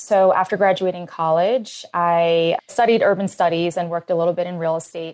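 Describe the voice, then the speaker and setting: Speaking at a fairly quick pace with hardly any pauses, a woman uses a normal speaking voice that is fairly low in pitch, with fairly even intonation. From US, Philadelphia. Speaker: brand founder. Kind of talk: interview.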